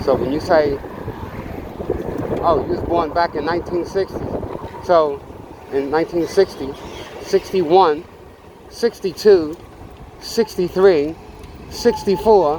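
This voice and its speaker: The speech moves at a fairly slow pace with long, frequent pauses. Background noise is noticeable. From New York City, Bronx. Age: 60s. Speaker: vlogger and small business owner. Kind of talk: casual political rant while riding. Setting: on a motorcycle ride. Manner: halting, many fillers.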